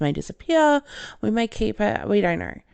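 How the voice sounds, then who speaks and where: Someone speaks with an Australian accent at a moderate pace. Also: woman. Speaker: podcast host, film reviewer. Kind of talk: solo podcast monologue.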